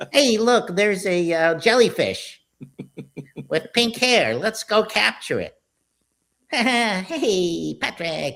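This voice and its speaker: Long, frequent pauses break up this put-on character voice as it moves at a very slow pace. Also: female-sounding voice, fairly high pitch for a woman. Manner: mediocre, cartoonish imitation.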